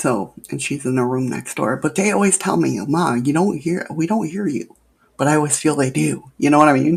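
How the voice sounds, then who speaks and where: A very deep, low female voice with vocal fry at a fairly quick pace. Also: lively intonation. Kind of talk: casual chat. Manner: soft-spoken.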